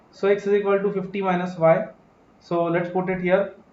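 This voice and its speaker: A man speaks in a high pitch. Audible room echo surrounds his voice. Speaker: accounting exam teacher. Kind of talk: live online lecture. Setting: live stream class. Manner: fast.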